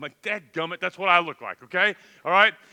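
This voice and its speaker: With a Texan accent, a man speaks at a very fast pace in a raised, projected voice with an animated, bright, sharp tone. The recording is very clean and the background silent. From Texas. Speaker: camp speaker. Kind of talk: youth talk to audience.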